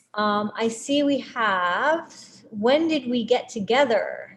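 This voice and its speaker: The speaker is a woman. A somewhat breathy quality marks her voice. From Puerto Rico. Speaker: string quartet musician. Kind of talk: live-streamed Q&A.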